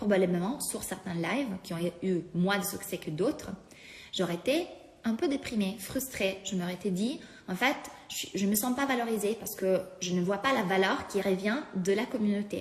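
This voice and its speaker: A woman speaks at a moderate pace with a non-native accent. Her pitch is medium, with ordinary pitch variation. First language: not French (speaking French). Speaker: life coach. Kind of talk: live-stream talk to followers. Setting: live stream. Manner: halting, many fillers.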